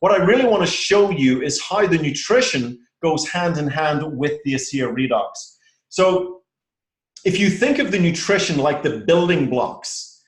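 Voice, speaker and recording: A man's high-pitched voice with an Irish accent, at a moderate pace, with lively intonation and audible room echo. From Ireland. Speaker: presenter. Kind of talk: sales presentation.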